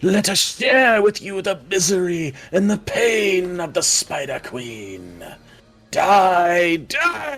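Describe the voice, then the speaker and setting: Faint music plays in the background as a man does a put-on character voice at high pitch and a very slow pace. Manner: shrieking, menacing.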